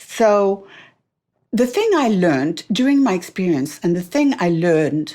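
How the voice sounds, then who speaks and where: A woman with a French accent, medium pitch and very wide pitch swings. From France. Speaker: author. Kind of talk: interview answer.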